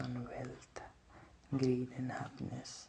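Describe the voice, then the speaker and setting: Soft-spoken, a man talks at a very slow pace. Noticeable background noise runs underneath. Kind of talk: casual ASMR intro talk to camera.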